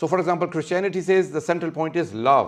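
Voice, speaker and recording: A high-pitched male voice over a quiet background. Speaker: religious speaker. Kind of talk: lecture. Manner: fast.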